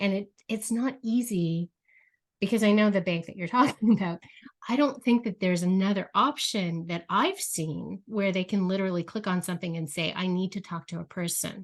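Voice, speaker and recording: A soft-spoken woman against a quiet background. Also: medium pitch for a woman, ordinary pitch variation, moderate pace. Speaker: podcast host. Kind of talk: interview.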